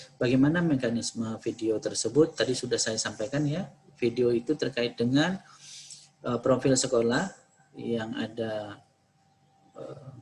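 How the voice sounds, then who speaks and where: A man's medium-pitched voice with ordinary pitch variation and long, frequent pauses. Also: fairly slow pace. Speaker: university lecturer briefing students. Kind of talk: briefing Q&A session. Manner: halting with many fillers.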